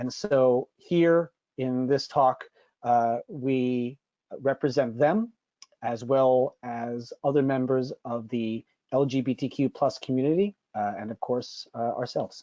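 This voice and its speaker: Speaking very slowly, this man has an American accent. His pitch sits in the medium range. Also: ordinary pitch variation. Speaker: cheesemonger, panelist. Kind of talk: webinar panel presentation. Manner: many filler words (uh).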